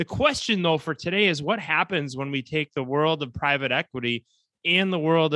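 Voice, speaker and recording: At a moderate pace, a man with an American accent talks in a bright, sharp tone with ordinary pitch variation, recorded with a dry, close sound and no echo. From United States. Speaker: podcast host. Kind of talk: interview.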